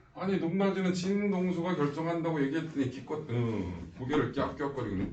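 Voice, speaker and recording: A fairly high-pitched man at a fairly quick pace, with audible room echo and noticeable background noise. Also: lively intonation. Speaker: science teacher. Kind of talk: lecture. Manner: animated.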